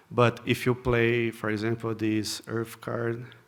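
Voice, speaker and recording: A man with a Portuguese accent and a medium pitch. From Brazil. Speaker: software engineer, conference speaker. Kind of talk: conference talk. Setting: stage with audience. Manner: halting, frequent repetitions and fillers.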